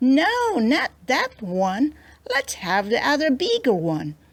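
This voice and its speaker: Using a put-on character voice, a woman speaks in a high pitch with a confident tone at a fairly slow pace. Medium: read story. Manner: crafty, confident.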